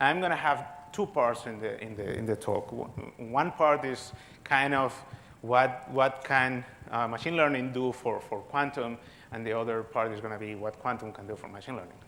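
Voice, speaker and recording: Talking at a moderate pace in a Spanish accent, a man with a medium-pitched, bright, sharp voice shows ordinary pitch variation and big swings in loudness, with audible room echo. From Spain. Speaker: physicist. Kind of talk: lecture. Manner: halting, many repetitions.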